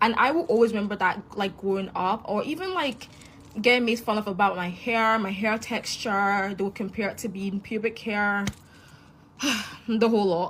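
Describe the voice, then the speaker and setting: Here a woman speaks with a Scottish accent at medium pitch. Her pace is moderate and her pitch varies in an ordinary way. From Scotland, Glasgow (moved from Nigeria at five). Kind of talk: casual testimony.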